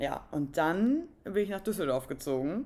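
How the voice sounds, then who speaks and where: This woman's voice comes across on a very clean recording, the background silent. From northern Germany. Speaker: podcast co-host. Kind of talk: casual chat.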